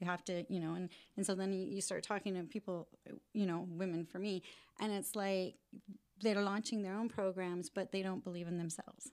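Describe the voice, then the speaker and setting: With fairly even intonation and a medium pitch, a woman talks in an unremarkable speaking voice. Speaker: rent-to-own business owner and author. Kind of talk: podcast interview.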